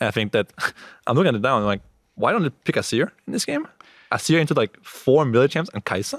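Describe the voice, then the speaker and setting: Talking at a very fast pace, a man uses a medium pitch with very wide pitch swings. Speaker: professional esports player. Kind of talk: casual interview. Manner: fast talker.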